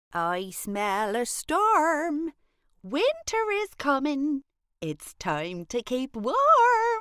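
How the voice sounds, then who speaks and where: In a very clean recording with a silent background, a put-on character voice moves through very wide pitch swings at a very slow pace. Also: female-sounding voice, high pitch for a woman. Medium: read story.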